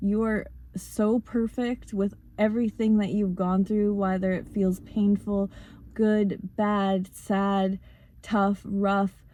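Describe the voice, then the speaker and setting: A very slow, monotone delivery with flat intonation, a dark, mellow tone and very even loudness. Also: woman, medium pitch for a woman. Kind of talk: motivational talk. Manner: casual, with fillers.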